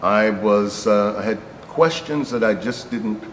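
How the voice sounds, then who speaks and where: A man with an American accent and a fairly low pitch, amid audible room echo and noticeable background noise. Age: 60s. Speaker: rabbi. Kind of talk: interview. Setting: on location in a synagogue. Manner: hesitant, with fillers.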